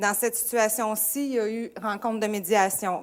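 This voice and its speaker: An ordinary speaking voice from a woman, fairly high in pitch, with fairly even intonation. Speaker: school administrator. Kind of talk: presentation.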